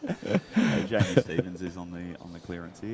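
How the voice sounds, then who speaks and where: With an Australian accent, the speaker moves at a fairly quick pace as background noise is noticeable. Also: man. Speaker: blackball pool commentator. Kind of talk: live commentary. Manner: loud.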